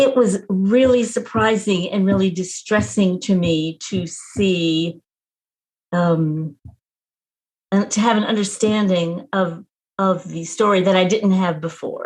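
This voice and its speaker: A woman speaks at a very slow pace. Her voice is somewhat breathy. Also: medium pitch for a woman, ordinary pitch variation. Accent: American. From Texas. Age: 70s. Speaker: retired nurse and activist. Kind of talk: interview.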